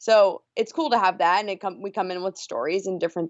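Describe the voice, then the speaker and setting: At a fairly quick pace, a woman speaks in a plain, everyday voice of medium pitch with ordinary pitch variation. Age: 30s. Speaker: radio morning show host. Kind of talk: casual chat.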